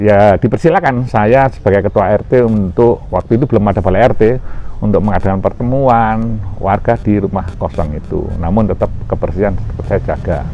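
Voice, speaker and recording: At a moderate speed, someone talks with music in the background. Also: man. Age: 60s. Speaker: environmental activist. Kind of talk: interview.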